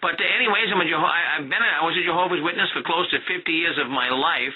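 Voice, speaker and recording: Very fast speech from a man with a high pitch and ordinary pitch variation, over noticeable background noise. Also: very even loudness. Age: 60s. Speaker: ex-Jehovah's Witness, radio program host. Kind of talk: radio interview, testimony.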